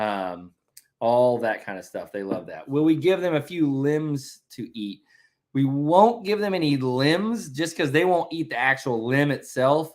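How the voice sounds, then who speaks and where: A man's fairly high voice with a Southern US accent, very wide pitch swings and a fairly slow pace, on a very clean recording with a silent background. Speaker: family vlogger, homesteader. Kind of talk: casual chat. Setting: livestream. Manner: loud.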